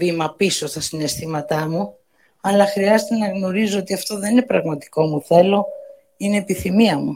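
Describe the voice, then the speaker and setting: On a very clean recording with a silent background, a woman speaks at medium pitch. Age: 60s. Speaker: birthday host giving a speech. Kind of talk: birthday speech to guests.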